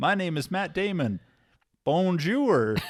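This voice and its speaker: With lively intonation, a man delivers his words fairly slowly. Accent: American. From USA. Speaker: podcast co-host. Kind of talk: casual chat. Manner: animated.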